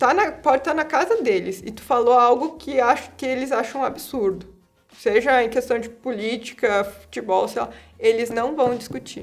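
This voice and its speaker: With music in the background, a woman talks at a high pitch, her loudness swinging widely. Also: ordinary pitch variation, moderate pace. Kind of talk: interview answer.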